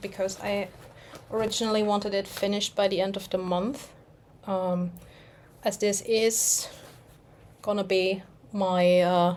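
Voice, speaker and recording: A woman at medium pitch talks at a fairly slow pace. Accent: German. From Germany. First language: German. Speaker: cross-stitch vlogger. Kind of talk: casual chat. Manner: halting.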